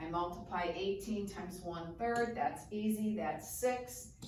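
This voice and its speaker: A woman's very slow speech with ordinary pitch variation, audible room echo and noticeable background noise. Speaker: math teacher. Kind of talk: tutorial. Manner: casual.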